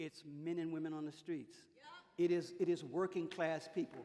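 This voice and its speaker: Over crowd noise in the background, a man talks in an animated tone at a moderate pace. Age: 70s. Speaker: civil rights veteran, panelist. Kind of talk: panel discussion.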